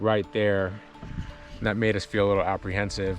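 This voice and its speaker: Music plays in the background behind a man with an American accent. His pitch sits fairly low. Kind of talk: casual talk to camera, reflective.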